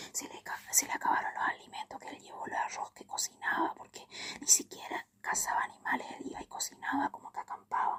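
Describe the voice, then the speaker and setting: Whispering at a fairly quick pace. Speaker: ASMR youtuber. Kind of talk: casual film review monologue. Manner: fast.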